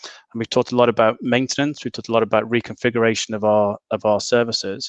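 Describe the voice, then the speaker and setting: Delivered in a northern English accent, the speech runs at a very fast pace with monotone, flat intonation. The sound is dry and close, with no echo. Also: man, medium pitch for a man, quiet background. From northern England. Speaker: panel moderator. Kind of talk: webinar closing summary. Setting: video call. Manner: halting, many repetitions.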